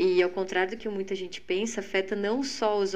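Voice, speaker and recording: At a moderate pace, a woman uses an ordinary speaking voice with medium pitch. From Rio Grande do Sul, Lajeado. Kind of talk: testimony.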